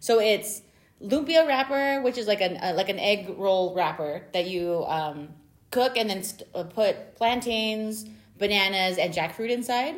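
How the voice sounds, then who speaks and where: With an American accent, a woman speaks fairly slowly in an unremarkable speaking voice, at a medium pitch with lively intonation. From US, Filipino American family. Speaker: library podcast co-host. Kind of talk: casual chat.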